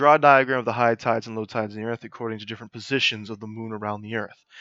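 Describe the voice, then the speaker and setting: In an ordinary speaking voice, a man talks with fairly even intonation, the sound dry and close with no echo against a quiet background. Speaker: middle school science teacher. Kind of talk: lecture. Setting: live stream.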